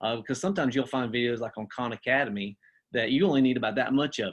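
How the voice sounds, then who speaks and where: A man speaks at a medium pitch. The sound is dry and close with no echo, over a quiet background. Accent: Southern US. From US South. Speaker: teacher and assistant principal. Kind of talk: webinar presentation. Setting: video call. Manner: casual, with many fillers and restarts.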